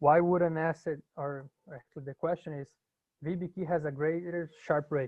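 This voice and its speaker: A man's fairly high-pitched, monotone, flat voice with big swings in loudness. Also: moderate pace. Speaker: university instructor. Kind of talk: lecture. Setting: video call. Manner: halting.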